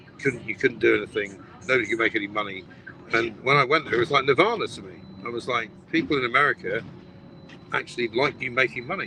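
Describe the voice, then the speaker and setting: A man with an English accent at a very fast pace, with long, frequent pauses, big swings in loudness and ordinary pitch variation. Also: medium pitch for a man. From Britain. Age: 60s. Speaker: broadcaster. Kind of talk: casual chat.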